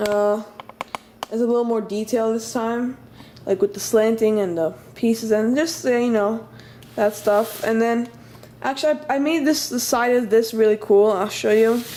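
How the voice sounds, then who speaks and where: A woman at a fairly high pitch and moderate pace, with ordinary pitch variation, long and frequent pauses, and noticeable background noise. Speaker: toy building hobbyist video maker. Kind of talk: casual show-and-tell tutorial. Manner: hesitant, many fillers and restarts.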